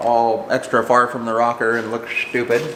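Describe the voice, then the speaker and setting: A man speaks at a fairly slow pace. Audible room echo and noticeable background noise fill the recording. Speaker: car builder and fabricator. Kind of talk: workshop tutorial. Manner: casual, conversational.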